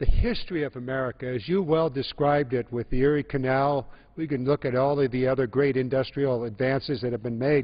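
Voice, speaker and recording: With fairly even intonation, a man talks at a fairly quick pace. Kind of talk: floor speech. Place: hall. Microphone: podium.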